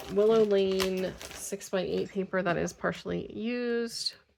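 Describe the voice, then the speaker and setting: A woman's voice amid noticeable background noise. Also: hardly any pauses. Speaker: craft video creator. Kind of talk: casual haul video talk. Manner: hesitant, many fillers.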